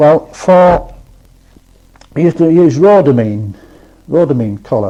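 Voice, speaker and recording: The man speaks very slowly. Behind him, noticeable background noise can be heard. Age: 60s. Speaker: retired soap works employee. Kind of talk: oral history interview answer. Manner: casual, conversational.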